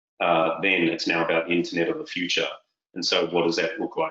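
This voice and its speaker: The speaker is a man. He talks in a New Zealand accent. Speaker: tech sales executive. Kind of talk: interview.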